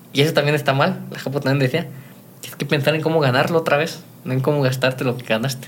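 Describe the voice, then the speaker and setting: Very fast, fairly high-pitched male speech in a flat monotone, with noticeable background noise. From Mexico, Guanajuato. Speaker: youtuber and entrepreneur. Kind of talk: interview.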